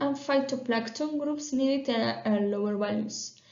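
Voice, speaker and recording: A woman talks at a fairly slow pace, and audible room echo hangs around her words. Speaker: PhD researcher. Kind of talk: conference talk. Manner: halting, many fillers.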